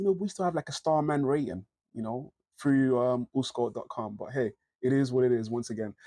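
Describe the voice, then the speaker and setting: Delivered at a fairly quick pace, the voice has a dark, mellow tone and lively intonation, with a dry, close sound and no echo. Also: man, medium pitch for a man. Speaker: fantasy football youtuber. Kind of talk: casual tutorial. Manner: fast; casual, animated.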